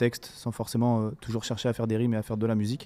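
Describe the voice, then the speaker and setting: The voice is a man's, pitched at a medium level. It has a dark, mellow tone. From northern France, Saint-Omer. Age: 20s. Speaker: rapper. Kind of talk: casual interview.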